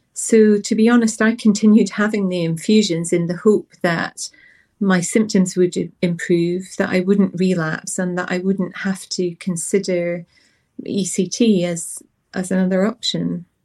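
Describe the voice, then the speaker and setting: With a Scottish accent, a woman speaks at a fairly slow pace in a medium pitch, her tone dark and mellow and her intonation fairly even. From Scotland. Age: 40s. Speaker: patient sharing her story. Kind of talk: personal testimony. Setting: studio.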